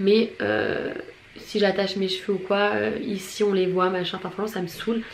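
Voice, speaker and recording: A woman's moderate-paced speech comes with audible room echo and noticeable background noise. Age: 20s. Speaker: beauty vlogger. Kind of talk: product review vlog.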